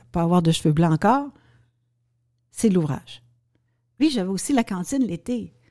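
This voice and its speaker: On a very clean recording with a silent background, a woman with a Quebec accent speaks at a medium pitch in a dark, mellow tone, with very wide pitch swings and long, frequent pauses. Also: moderate pace. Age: 60s. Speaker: restaurant owner and former political staffer. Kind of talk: interview conversation. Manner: halting.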